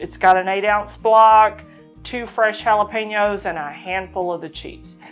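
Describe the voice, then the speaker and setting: A woman talks fairly slowly. Soft music sits faintly behind her. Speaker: cooking show host. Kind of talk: tutorial. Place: home room. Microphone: lapel.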